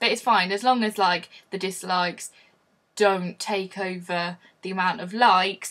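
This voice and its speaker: A woman with an English accent speaks at a fairly slow pace, her medium-pitched voice bright and sharp in tone. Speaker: vlogger. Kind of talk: casual vlog.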